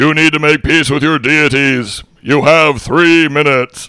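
Using a put-on character voice, a man talks at a moderate pace and a fairly high pitch. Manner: commanding, wacky.

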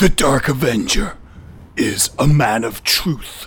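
At a fairly slow pace, a man puts on a character voice with a fairly high pitch. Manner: heroic, grandiose.

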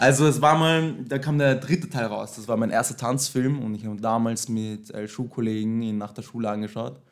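A man's voice at a moderate pace with ordinary pitch variation, big swings in loudness and hardly any pauses. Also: medium pitch for a man. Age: 20s. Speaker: dancer. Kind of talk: casual interview. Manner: hesitant, many fillers.

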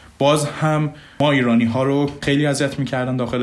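A man's voice with fairly even intonation, audible room echo, and noticeable background noise. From Iran, Mashhad. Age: 20s. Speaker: software developer. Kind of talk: interview.

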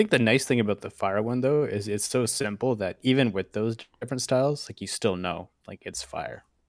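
A man with an ordinary speaking voice, medium pitch and ordinary pitch variation, at a fairly quick pace with big swings in loudness. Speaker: podcast co-host. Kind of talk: casual chat.

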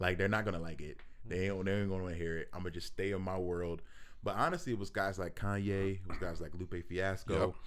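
Amid audible room echo, a man with an American accent talks at a very fast pace in a very deep, low pitch with monotone, flat intonation. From Philadelphia, US. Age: 40s. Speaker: rapper. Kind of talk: casual chat.

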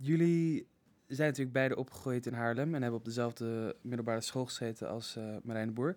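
At a moderate pace, a man talks on a very clean recording with a silent background. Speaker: art history student. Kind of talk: casual chat.

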